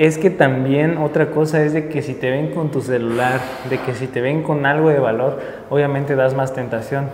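Over light background noise and audible room echo, a man with a Mexican accent talks at a fairly high pitch and a moderate pace with fairly even intonation. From Mexico. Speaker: travel vlogger. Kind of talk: vlog narration. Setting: outdoors, city streets at night.

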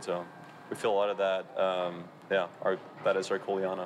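A man speaks at a fairly low pitch. Light background noise sits behind him. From Europe. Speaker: college volleyball player. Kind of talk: interview answer. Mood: relaxed, smiling, reflective.

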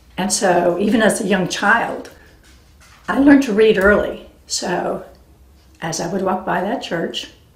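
Audible room echo surrounds a woman with an American accent who talks at a fairly slow pace with long, frequent pauses and ordinary pitch variation. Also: big swings in loudness. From US West Coast, San Diego area; California. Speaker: family storyteller recording life legacy. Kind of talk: personal memoir narration. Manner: relaxed, with frequent fillers (um, uh). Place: home room.

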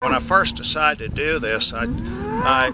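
A man with an American accent, dry sound with no echo, and loud background noise. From Georgia, USA. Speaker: purebred livestock auctioneer. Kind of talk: business testimonial to camera. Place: farm.

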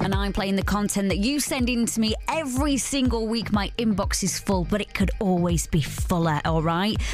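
Music plays in the background as a woman speaks in an upbeat, enthusiastic tone with hardly any pauses, the sound dry with no echo. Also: moderate pace. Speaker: radio presenter. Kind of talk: radio show hosting. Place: studio.

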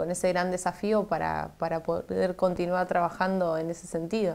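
A woman at a medium pitch and moderate pace. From Argentina, Santa Fe. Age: 20s. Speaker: politician; politician interviewee. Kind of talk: TV interview. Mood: grateful, hopeful. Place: studio. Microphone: lapel.

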